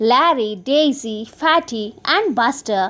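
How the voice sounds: What we hear is a natural reading voice.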